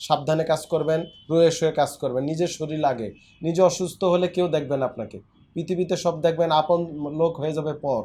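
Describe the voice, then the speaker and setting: A man's fairly high-pitched voice with a dark, mellow tone and fairly even intonation, on a very clean recording with a silent background. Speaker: physiotherapist doctor. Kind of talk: patient interview and health advice.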